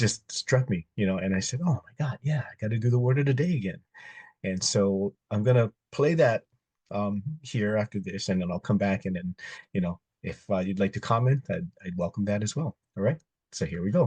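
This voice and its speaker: Somewhat breathy and dark, mellow in tone, a man speaks at a moderate pace in a fairly low pitch with lively intonation, the sound dry and close with no echo over a quiet background. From Hawaii. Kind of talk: casual talk to camera.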